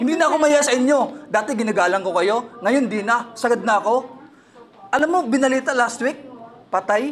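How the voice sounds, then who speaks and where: A loud man speaks at an extremely high pitch with ordinary pitch variation, and there is noticeable background noise. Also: fairly quick pace. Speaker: claimant complaining at an office. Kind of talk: heated argument.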